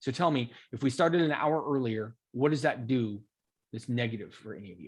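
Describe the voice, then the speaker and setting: A man's medium-pitched voice at a fairly quick pace, with ordinary pitch variation and big swings in loudness. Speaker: coding instructor. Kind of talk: online class chat.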